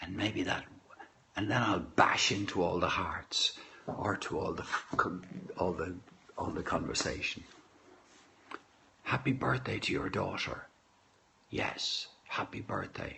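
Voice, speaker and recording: In a whisper, a man talks fairly slowly, with long pauses that come often. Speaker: livestream host reading poetry. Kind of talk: casual chat. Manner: soft-spoken.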